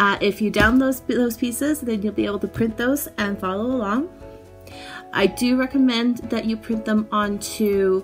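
Over faint music in the background, a woman speaks at a moderate pace with ordinary pitch variation. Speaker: makerspace instructor. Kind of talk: tutorial. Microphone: phone near.

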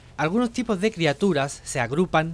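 This man has an ordinary speaking voice. His intonation is lively. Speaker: gaming youtuber. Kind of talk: scripted narration.

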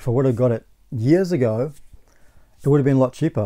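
A man with an Australian accent speaks in a dark, mellow tone. The background is quiet. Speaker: gaming YouTuber. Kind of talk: casual vlog monologue. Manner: halting, with frequent repetitions. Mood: annoyed about bad purchase. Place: home room.

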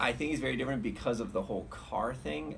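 A man talks fairly quickly while light noise sits in the background. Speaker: musician vlogger. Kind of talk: casual vlog chat. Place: garden. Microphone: phone near.

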